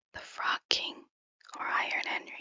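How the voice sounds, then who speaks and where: Someone is whispering at a fairly slow pace. Music plays in the background. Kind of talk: ASMR whisper narration of a fairy tale. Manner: whispered.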